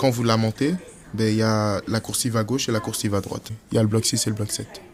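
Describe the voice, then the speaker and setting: Over noticeable background noise, a man talks at a fairly quick pace. His medium-pitched voice has fairly even intonation. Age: 20s. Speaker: young resident. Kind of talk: interview testimony.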